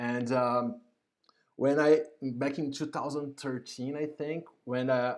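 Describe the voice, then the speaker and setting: With a non-native accent, a man talks in a fairly high pitch and fairly even intonation. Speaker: YouTube host, UX professional. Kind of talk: live stream interview introduction. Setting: home, live stream. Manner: halting, many fillers and repetitions.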